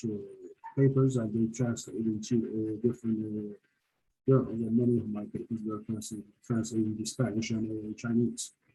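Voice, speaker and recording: At a fairly quick pace, a man speaks in a medium pitch with a dark, mellow tone. His voice is somewhat breathy, with monotone, flat intonation. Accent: Turkish. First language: Turkish. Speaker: hospitality professor. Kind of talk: panel discussion. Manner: halting, many fillers.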